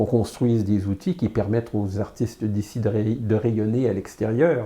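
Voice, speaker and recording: A man's somewhat breathy voice with a dark, mellow tone, fairly low pitch and a moderate pace. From Quebec, Canada. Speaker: illustrator and comic artist. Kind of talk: interview answer. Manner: hesitant, many fillers.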